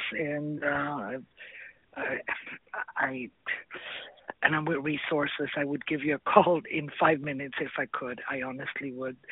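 The speech moves at a fairly slow pace with long, frequent pauses. Intonation stays fairly even over noticeable background noise. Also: woman, very deep, low pitch for a woman. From South America. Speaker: caller. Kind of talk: phone call-in chat.

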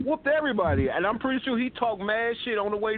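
The tone is animated. Delivery moves at a fairly quick pace. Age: 50s. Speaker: internet radio co-host. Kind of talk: casual chat.

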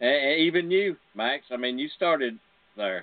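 This man has an ordinary speaking voice and lively intonation. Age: 60s. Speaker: radio host. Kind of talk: casual chat.

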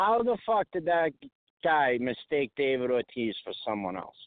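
With a Boston accent, a man talks in very wide pitch swings. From Massachusetts, Boston area (Lynn). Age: 40s. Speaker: cab driver calling in. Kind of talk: casual chat. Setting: phone call from a cab.

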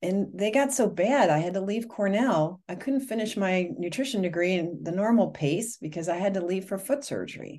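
A woman with a dark, mellow tone, lively intonation and a moderate pace. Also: medium pitch for a woman. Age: 50s. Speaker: nutritionist and author. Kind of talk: interview.

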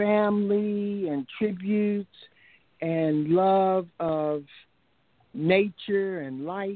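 A woman speaks with an American accent at a very slow pace, with long, frequent pauses. Her pitch is medium, with ordinary variation. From US, Washington D.C. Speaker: poet. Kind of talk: interview; poetry reading. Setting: radio call-in show. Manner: measured cadence.

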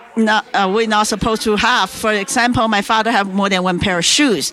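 A woman with a Chinese accent speaks in a fairly high voice. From China. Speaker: author and entrepreneur. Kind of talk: interview telling her life story. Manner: halting, with filler words.

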